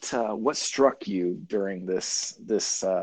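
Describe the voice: What we hear is plain reading aloud.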